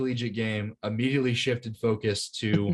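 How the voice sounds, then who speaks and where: An enthusiastic tone marks this man's speech, delivered at a moderate pace and medium pitch. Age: 20s. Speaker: lacrosse coach and podcast co-host. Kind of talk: casual podcast chat.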